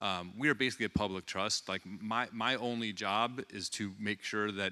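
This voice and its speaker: Loud and fairly low in pitch, a man speaks with a bright, sharp tone on a very clean recording with a silent background. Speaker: baseball team general manager. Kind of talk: keynote speech. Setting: stage with audience. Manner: halting, many fillers.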